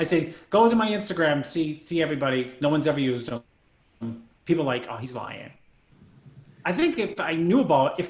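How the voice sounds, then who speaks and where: Speaking at a fairly quick pace, a man with a fairly high, somewhat breathy voice uses lively intonation. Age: 50s. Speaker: bodybuilding coach. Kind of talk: casual chat.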